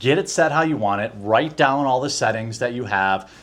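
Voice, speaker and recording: This man talks at a moderate pace and a medium pitch. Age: 40s. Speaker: YouTuber and vlogger. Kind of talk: casual tutorial vlog. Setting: home recording setup. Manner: loud.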